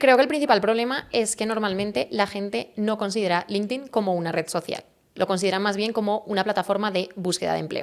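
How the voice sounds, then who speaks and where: A woman with a Spanish accent, medium in pitch, with hardly any pauses. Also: ordinary pitch variation, fairly quick pace. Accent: Spanish (Spain). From Spain, Valencia. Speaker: personal branding expert. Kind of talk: interview.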